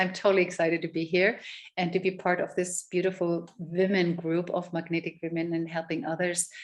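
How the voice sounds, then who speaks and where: A woman speaks at a moderate pace with a fairly low pitch and monotone, flat intonation. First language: German. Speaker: love and relationship coach. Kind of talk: interview.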